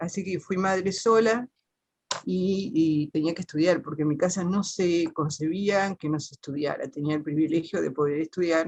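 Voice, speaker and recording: A woman's medium-pitched voice, showing ordinary pitch variation, proceeds at a moderate pace. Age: 60s. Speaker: teacher, panel participant. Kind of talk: personal testimony in a panel talk. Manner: halting, many fillers and self-corrections.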